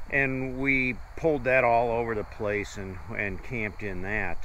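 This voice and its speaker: The speaker has a Midwestern American accent. Room echo is audible. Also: man. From US Midwest, Ohio. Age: 60s. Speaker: travel vlogger. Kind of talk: casual chat.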